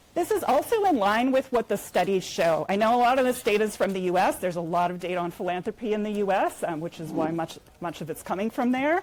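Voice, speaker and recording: Over noticeable background noise, a woman with an American accent and medium pitch talks very fast with lively intonation and hardly any pauses. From United States. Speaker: nonprofit fundraising executive. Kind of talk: conference talk. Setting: conference room with audience.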